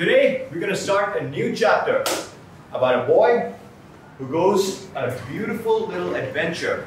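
A man speaks at a moderate pace, with light background noise and audible room echo. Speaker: teacher. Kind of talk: classroom address to students. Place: classroom. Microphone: camera far.

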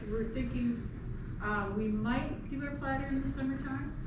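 A woman talks at a moderate pace, with audible room echo and noticeable background noise. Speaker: winery tasting host. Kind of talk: tasting explanation to guests. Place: shop. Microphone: camera far.

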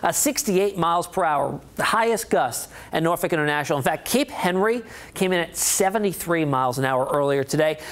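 A high-pitched man with lively intonation at a moderate pace. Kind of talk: weather forecast presentation. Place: studio.

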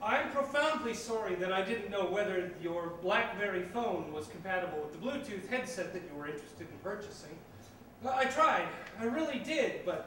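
Over light background noise and audible room echo, a man talks at a moderate pace. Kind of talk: theatrical monologue. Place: stage.

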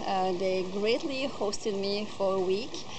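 Noticeable background noise sits behind a woman speaking with a French accent. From France. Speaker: volunteer. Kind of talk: testimonial. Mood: calm, warm, grateful. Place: garden.

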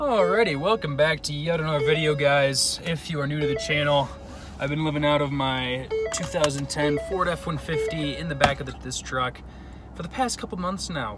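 A man speaks with a dry, echo-free sound while music plays clearly in the background. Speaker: travel vlogger. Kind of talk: casual vlog chat. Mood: upbeat, relaxed. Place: car. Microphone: phone near.

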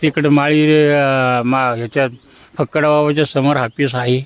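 A man talks with a fairly high pitch and fairly even intonation. The sound is dry and close with no echo, though background noise is noticeable. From Maharashtra, Maval (Pune district). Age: 70s. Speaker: local villager. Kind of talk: street interview.

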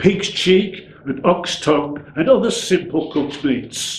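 At a fairly slow pace, a man speaks with a high pitch for a man and lively intonation. Audible room echo and light background noise fill the recording. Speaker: poet. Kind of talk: poetry reading. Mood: warm, nostalgic. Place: home room.

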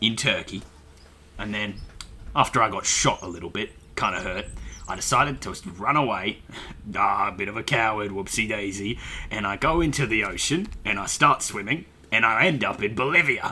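A man puts on a character voice at a medium pitch, moving at a moderate pace with long, frequent pauses. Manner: rambling, forgetful storyteller.

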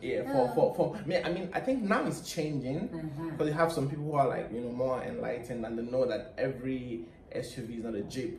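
A man speaks very fast with a Nigerian accent, hardly pausing, at a fairly high pitch. Light background noise and audible room echo are present. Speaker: co-host. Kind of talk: casual talk to camera. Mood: cheerful, laughing. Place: home room. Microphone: camera far.

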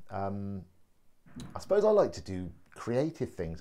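With an English accent, a man speaks at a fairly slow pace while faint music plays in the background. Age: 40s. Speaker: vlogger and laughter yoga enthusiast; vlogger. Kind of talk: personal video introduction. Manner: hesitant, many fillers. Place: home room. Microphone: phone near.

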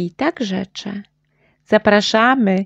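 A woman's gentle, warm voice at medium pitch, very slow, with ordinary pitch variation and a dry, close sound with no echo. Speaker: mother reading children's audiobook. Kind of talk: bedtime story reading aloud, rhymed children's tale. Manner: gentle, sing-song and rhythmic; warm, animated storytelling with playful shifts for the dialogue.

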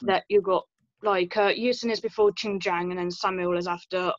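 A woman's monotone, flat delivery at a moderate pace, the sound dry with no echo. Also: quiet background. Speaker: audience member asking questions; audience member. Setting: video call. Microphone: video call.

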